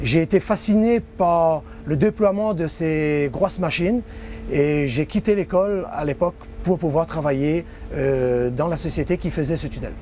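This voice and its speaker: Music plays in the background as a man with a fairly high voice talks at a fairly slow pace with ordinary pitch variation. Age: 50s. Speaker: tunnel construction worker. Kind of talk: interview testimony.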